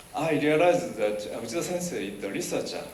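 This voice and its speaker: Amid noticeable background noise and audible room echo, a man talks with lively intonation. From Japan. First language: Japanese. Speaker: professor. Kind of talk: speech. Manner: halting.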